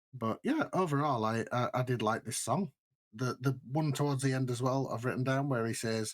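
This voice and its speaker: A man with a British accent, medium pitch, fairly even intonation and a moderate pace. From Britain. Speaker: podcast co-host. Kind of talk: casual chat.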